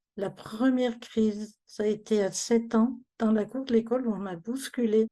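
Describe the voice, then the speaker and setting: With a dark, mellow tone and a fairly high pitch, a woman speaks at a fairly slow pace with fairly even intonation. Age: 60s. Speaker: migraine patient giving testimony. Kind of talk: testimony.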